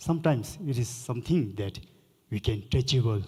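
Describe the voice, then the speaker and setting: Dark, mellow, somewhat breathy tone from a man at medium pitch with ordinary pitch variation. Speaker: Buddhist lama, panelist. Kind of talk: panel discussion.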